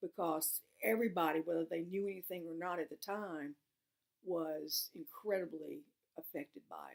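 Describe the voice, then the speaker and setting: A woman's fairly low voice in a Southern US accent, fairly even in intonation at a moderate pace, with a dry, close sound and no echo. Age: 60s. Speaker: oral history interviewee. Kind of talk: oral history testimony. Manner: halting.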